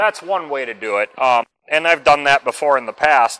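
Moderate pace and ordinary pitch variation from a man. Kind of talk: tutorial. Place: workshop.

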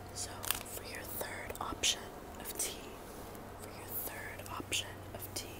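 A woman at a fairly slow pace with long, frequent pauses, over loud background noise. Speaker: ASMR creator. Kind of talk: ASMR roleplay, soft spoken. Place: home room. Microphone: earbuds.

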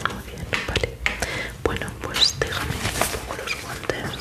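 A woman whispers at a fairly slow pace. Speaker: ASMR creator playing a doctor. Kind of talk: ASMR roleplay, soft spoken. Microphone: studio mic.

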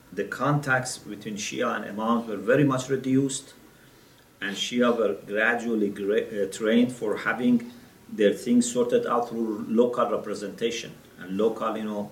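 Audible room echo carries a man's voice as he speaks at a moderate pace with fairly even intonation. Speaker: religious lecturer. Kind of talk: lecture. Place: classroom.

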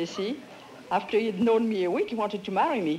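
Light background noise sits under a voice in a French accent with ordinary pitch variation. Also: woman. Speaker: quiz show contestant. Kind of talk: game show banter. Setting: studio with audience. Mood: amused, chatty storytelling. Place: studio. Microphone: studio mic.

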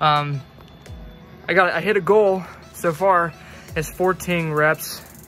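A man speaks with faint music in the background. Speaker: fitness vlogger. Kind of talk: casual vlog chat.

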